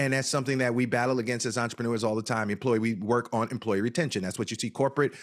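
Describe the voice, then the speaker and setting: A man speaks in an animated tone with a New Jersey accent. His pitch varies in an ordinary way. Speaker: cannabis business consultant. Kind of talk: interview. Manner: fast.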